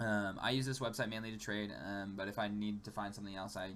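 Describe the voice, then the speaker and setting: Audible room echo accompanies speech delivered at a very fast pace. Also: man. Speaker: gaming YouTuber. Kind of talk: gameplay tutorial commentary. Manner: casual with many fillers (um, like).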